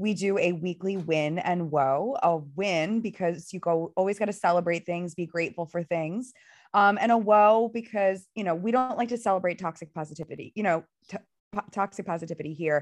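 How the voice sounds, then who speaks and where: With an American accent, a medium-pitched woman talks at a fairly quick pace in an animated tone with ordinary pitch variation against a quiet background. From Philadelphia. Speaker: podcast co-host. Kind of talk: casual chat. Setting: lying on couch at home.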